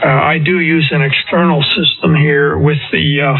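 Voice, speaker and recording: A man speaks at a fairly slow pace with a fairly high pitch. Noticeable background noise runs behind him. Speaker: amateur radio operator. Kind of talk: casual chat. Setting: amateur radio transmission.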